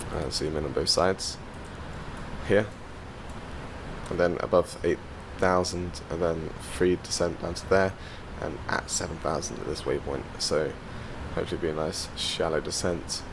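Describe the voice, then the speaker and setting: A man's very deep, low pitch at a moderate pace, with fairly even intonation, long, frequent pauses and noticeable background noise. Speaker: flight sim YouTuber. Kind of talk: gameplay commentary. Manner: loud.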